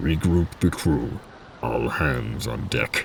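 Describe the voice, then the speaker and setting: A put-on character voice growls at a very slow pace over clear background noise. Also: man, very deep, low pitch for a man. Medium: read story. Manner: low and level.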